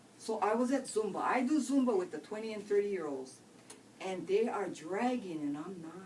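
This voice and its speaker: Amid noticeable background noise and audible room echo, a woman at medium pitch talks fairly quickly in an animated tone, with very wide pitch swings and big swings in loudness. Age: 60s. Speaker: network marketing distributor. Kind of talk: testimony.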